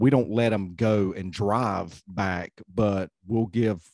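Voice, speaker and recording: Against a quiet background, a man with an American accent talks in a monotone, flat intonation, the sound dry and close with no echo. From US South, North Carolina. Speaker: podcast host, retired law enforcement.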